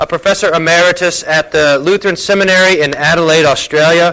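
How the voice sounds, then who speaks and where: High-pitched male speech with ordinary variation in pitch. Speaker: church host introducing speaker. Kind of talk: introduction and announcements. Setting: church gathering.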